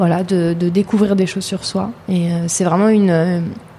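Her voice sits at a medium pitch for a woman, and her intonation stays fairly even. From France, Chartres. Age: 30s. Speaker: entrepreneur, handbag brand founder. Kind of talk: interview testimony. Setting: recorded at a shop in Chartres. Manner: halting, many repetitions.

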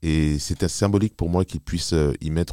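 On a very clean recording with a silent background, a man speaks at a moderate pace in a dark, mellow tone, the sound dry and close with no echo. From Paris region, France. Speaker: musician and producer. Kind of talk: interview. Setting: live event venue. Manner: halting, many fillers and repetitions.

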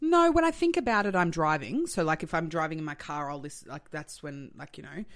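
A woman with an Australian accent talks with hardly any pauses and big swings in loudness on a very clean recording with a silent background. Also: fairly quick pace. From Australia, Tasmania and Melbourne. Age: 30s. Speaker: comedian and writer. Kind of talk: casual chat.

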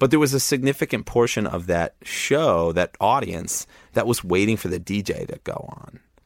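On a very clean recording with a silent background and a dry, close sound with no echo, a man with an American accent and an ordinary speaking voice talks at a moderate pace and medium pitch, with lively intonation and big swings in loudness. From northern New Jersey. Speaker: rock musician. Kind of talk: casual chat.

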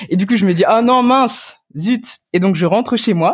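An unremarkable speaking voice at a moderate pace, with lively intonation. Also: woman. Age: young. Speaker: pastor. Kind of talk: casual chat.

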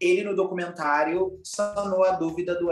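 The speaker is a man. His pitch is high. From Minas Gerais, Brazil (Lavras). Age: 20s. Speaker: youtuber and advertising professional. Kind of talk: casual interview chat.

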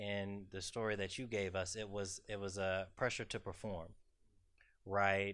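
In a Southern US accent, a man speaks at a fairly low pitch with a bright, sharp tone against a quiet background. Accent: southern drawl. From US South, South Carolina. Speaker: psychiatrist. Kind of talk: expert commentary at live event. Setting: live event with audience.

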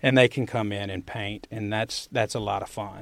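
A man speaks with a Southern accent at medium pitch and a moderate pace. His intonation is monotone and flat, on a very clean recording with a silent background. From Mississippi (Winona). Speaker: sculptor. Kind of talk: interview. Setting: studio.

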